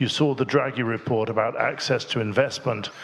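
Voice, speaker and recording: Background noise is noticeable throughout. Over it, a man talks with ordinary pitch variation. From Ireland. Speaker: financial policy expert, panelist. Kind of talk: panel discussion.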